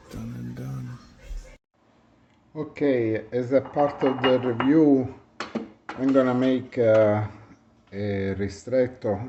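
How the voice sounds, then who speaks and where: Over noticeable background noise, a man with an Italian accent speaks at a very slow pace and medium pitch, his intonation fairly even, his loudness swinging widely and his speech broken by long, frequent pauses. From Italy. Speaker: product reviewer. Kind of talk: product review demo. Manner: halting.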